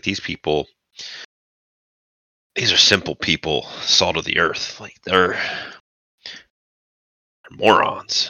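A raspy, put-on character voice at a fairly slow pace, with long, frequent pauses. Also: man. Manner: condescending, scornful.

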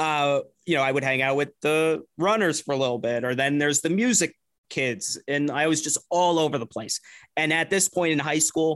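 A man with an American accent talks in an ordinary speaking voice, with ordinary pitch variation and very even loudness. The recording is very clean with a silent background, and the sound is dry and close with no echo. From New Jersey. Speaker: radio producer. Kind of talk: casual chat.

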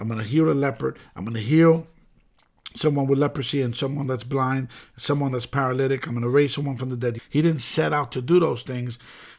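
A man's normal speaking voice with an American accent, medium pitch and ordinary pitch variation, fairly quick, on a very clean recording with a silent background. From New York City (the Bronx). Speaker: pastor. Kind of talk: sermon-style podcast monologue.

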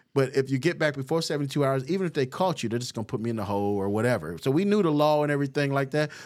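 Talking at a very fast pace with hardly any pauses, a man uses lively intonation on a very clean recording with a silent background. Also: fairly high pitch for a man. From Los Angeles, west side. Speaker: pastor. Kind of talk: casual interview, life story.

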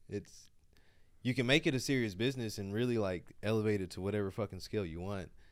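Using an ordinary speaking voice, a man talks at a fairly quick pace with fairly low pitch and ordinary pitch variation. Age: 30s. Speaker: comedian. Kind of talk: casual chat. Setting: studio.

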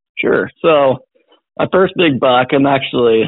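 A man speaks with an American accent. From Missouri. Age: 20s. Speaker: deer hunter. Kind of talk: casual interview.

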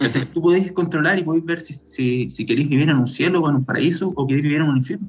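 Speaking with a Chilean accent, a man talks at a very fast pace in a fairly high pitch with ordinary pitch variation and hardly any pauses. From Chile, Santiago. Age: 30s. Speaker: bitcoin promoter and event co-founder. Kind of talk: casual chat.

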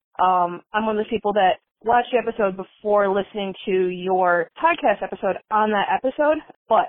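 A woman speaks at a fairly quick pace with a plain, everyday voice. Her pitch sits in the medium range. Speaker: caller. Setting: phone call.

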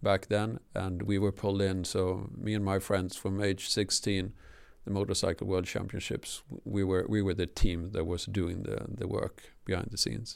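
In a very deep, low voice, a man speaks with fairly even intonation. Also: moderate pace. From southern Sweden. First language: Swedish. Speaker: telecom engineer. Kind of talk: interview. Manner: halting.

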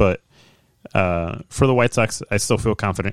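A man speaks at a moderate pace in a clear, smooth tone, the sound dry and close with no echo.

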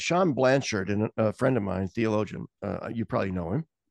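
A man at a fairly quick pace, in dry, close sound with no echo. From Nebraska. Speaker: theologian. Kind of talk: casual chat.

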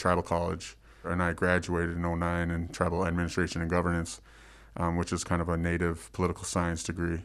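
A man with an American accent and a very deep, low pitch, against a quiet background. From Minnesota. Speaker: Native food sovereignty and civic engagement activist. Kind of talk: interview. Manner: halting, many fillers.

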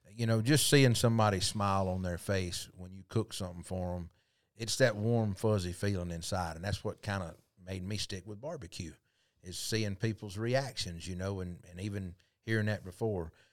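In a very clean recording with a silent background, a man with a Southern US accent talks at a moderate pace, his fairly low pitch varying in an ordinary way while his loudness swings widely. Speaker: podcast host. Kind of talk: casual interview chat.

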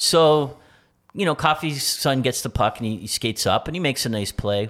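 A man with an unremarkable speaking voice, ordinary pitch variation and a moderate pace, on a very clean recording with a silent background. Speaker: co-host and son. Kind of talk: casual chat.

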